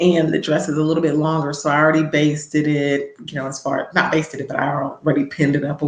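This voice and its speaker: Very deep, low-pitched woman at a fairly quick pace amid noticeable background noise. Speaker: personal finance livestreamer. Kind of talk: casual livestream chat. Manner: animated.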